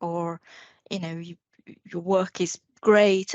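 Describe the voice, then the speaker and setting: A woman with a non-native accent, fairly low in pitch, monotone with flat intonation, at a very slow pace. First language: not English. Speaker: guest. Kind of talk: casual chat.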